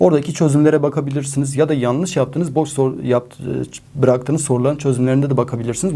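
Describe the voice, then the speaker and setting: Very fast and fairly high-pitched, a man speaks with a dark, mellow tone. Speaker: math teacher. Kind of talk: exam advice talk to students. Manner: animated, encouraging.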